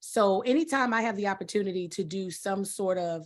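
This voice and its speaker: A woman's ordinary speaking voice at a fairly slow pace, with ordinary pitch variation. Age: 40s. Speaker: sketch comedy actress. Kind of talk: roundtable interview. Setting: video call.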